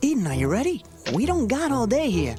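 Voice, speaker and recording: A cartoonish character voice at a fairly high pitch moves at a fairly quick pace over clear music in the background. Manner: fast, wisecracking.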